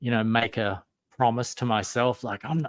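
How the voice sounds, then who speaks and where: A man speaks with a strong Australian accent at a moderate pace. The sound is dry and close, with no echo. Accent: Australian, still strong. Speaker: guest writer. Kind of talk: casual chat.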